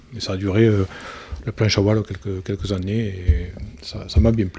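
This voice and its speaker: This man speaks at a fairly quick pace. His pitch is fairly low and his intonation fairly even. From Lozère, southern France. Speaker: ocean rower, petrochemical site manager. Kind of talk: podcast interview.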